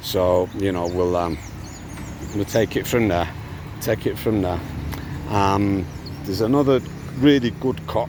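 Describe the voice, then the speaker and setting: A man's fairly low voice with ordinary pitch variation, against noticeable background noise. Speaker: father vlogging about custody dispute. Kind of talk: casual vlog. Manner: loud and rising pitch; halting, many fillers and repeats.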